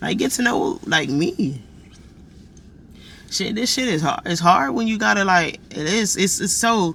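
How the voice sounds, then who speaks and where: A man talks at an even, moderate speed while noticeable noise sits in the background. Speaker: vlogger. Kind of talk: personal vlog monologue. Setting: indoors, warm room. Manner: animated.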